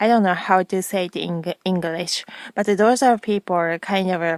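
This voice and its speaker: In a Japanese accent, a woman speaks at a very slow pace and a medium pitch. Her intonation is fairly even, and the sound is dry and close with no echo. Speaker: video blogger. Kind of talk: casual vlog monologue. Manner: halting, many fillers.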